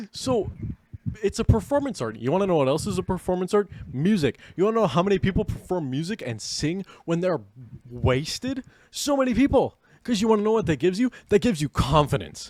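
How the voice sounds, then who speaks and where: Talking at a fairly quick pace in an animated tone, a man with a high voice makes very wide pitch swings, heard as a dry, close sound with no echo. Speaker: podcast co-host. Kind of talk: casual chat.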